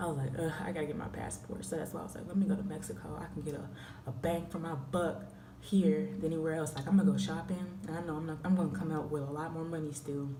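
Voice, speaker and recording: A woman with a very deep, low pitch and an American accent speaks at a very fast pace, with audible room echo and noticeable background noise. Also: ordinary pitch variation. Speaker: travel vlogger. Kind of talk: casual vlog talk. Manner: stuttering at times. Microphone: quiet recording.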